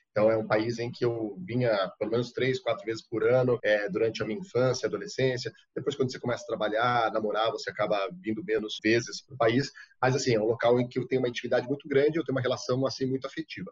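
A man's somewhat breathy voice at a very fast pace, medium in pitch with ordinary pitch variation. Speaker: TV foreign correspondent. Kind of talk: interview.

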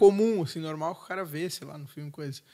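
In a normal speaking voice, a man talks at a fairly high pitch with ordinary pitch variation. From southern Brazil. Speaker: podcast co-host. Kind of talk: casual chat. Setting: studio.

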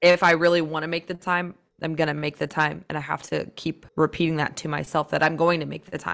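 This woman talks at a fairly quick pace with vocal fry, a very deep, low pitch, and monotone, flat intonation. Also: very clean recording, silent background. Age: 20s. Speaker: podcast co-host. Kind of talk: casual chat.

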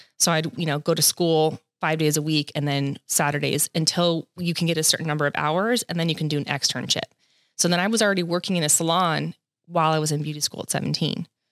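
Very fast and very deep, low for a woman, a woman with a Californian accent speaks in a very clean recording with a silent background and a dry, close sound with no echo. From Southern California. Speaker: hairstylist and educator. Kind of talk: casual interview.

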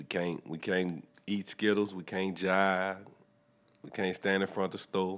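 A man with a New Orleans accent talks at a fairly slow pace in a very deep, low pitch and a monotone, flat intonation. His loudness swings widely, and the recording is very clean with a silent background. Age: 30s. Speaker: podcast host. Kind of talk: casual chat. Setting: studio.

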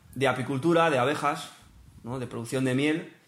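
Audible room echo is present. It follows a man's voice as he talks. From northern Spain. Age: 20s. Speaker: biologist and livestock farming enthusiast. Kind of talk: casual chat.

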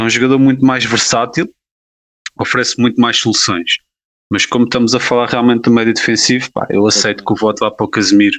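A man with a European Portuguese accent talks at a very fast pace. His pitch is medium and his intonation fairly even. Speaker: sports podcast co-host. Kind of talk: casual chat.

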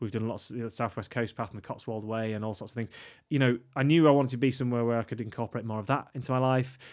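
A man speaks at a very fast pace. His medium-pitched voice keeps fairly even intonation. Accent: Yorkshire. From northern England, York. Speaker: stage actor and teacher. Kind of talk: casual interview. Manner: hesitant, many fillers.

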